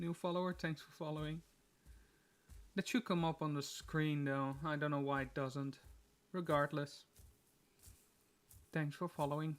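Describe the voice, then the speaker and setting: A man with a non-native accent and a fairly high voice speaks with fairly even intonation and long, frequent pauses, in a very clean recording with a silent background. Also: moderate pace. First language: not English. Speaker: gaming streamer. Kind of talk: live gameplay stream chat. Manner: casual, hesitant with fillers.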